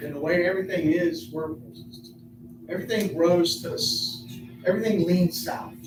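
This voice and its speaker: A man with a high pitch talks at a moderate pace with lively intonation and long, frequent pauses. Audible room echo and noticeable background noise surround him. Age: 60s. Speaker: resident speaking at city council meeting. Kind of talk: public comment. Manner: halting, repetitive.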